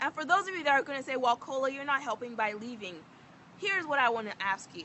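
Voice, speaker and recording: A woman with an American accent and a high pitch, animated tone, very wide pitch swings, big swings in loudness and a very fast pace, amid noticeable background noise. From Nigeria. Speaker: vlogger. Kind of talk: opinion vlog monologue.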